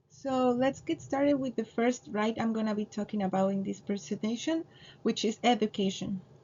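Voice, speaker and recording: The voice is somewhat breathy and moves at a moderate pace. Its pitch varies in an ordinary way. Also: woman. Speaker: student. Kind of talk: class presentation. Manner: halting, with fillers and self-corrections.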